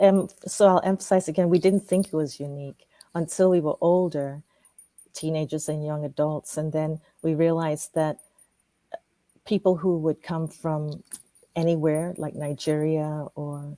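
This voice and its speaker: A woman with a Ghanaian accent speaks at a moderate pace in a very deep, low voice with a dark, mellow tone and flat, monotone intonation. Her long pauses come often, and the sound is dry and close with no echo. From Ghana (Ashanti). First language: Twi. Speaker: professor. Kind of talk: interview.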